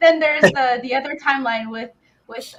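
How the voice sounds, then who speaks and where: With lively intonation, a woman speaks in a non-native accent. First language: not English. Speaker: podcast guest, gaming fan. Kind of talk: casual chat. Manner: halting.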